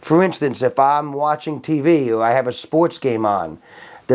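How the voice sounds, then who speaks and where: Fairly high-pitched man with an American accent, moderate pace and ordinary pitch variation, in a very clean recording with a silent background. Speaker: interviewee telling life story. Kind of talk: personal testimony. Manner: speaks out of the side of his mouth; sometimes too loud.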